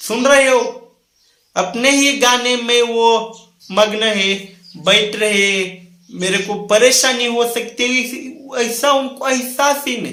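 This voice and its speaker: In a Marathi accent, a man uses a raised, projected voice at an extremely high pitch, his intonation fairly even, with audible room echo. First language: Marathi (speaking Hindi). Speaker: motivational speaker. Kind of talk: motivational talk to camera. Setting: recording a video indoors near a window.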